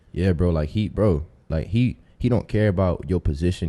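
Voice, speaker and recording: A man with an American accent speaks in a very deep, low voice with a dark, mellow tone and ordinary pitch variation. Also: quiet background. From Tampa, Florida, US. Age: 20s. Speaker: rapper.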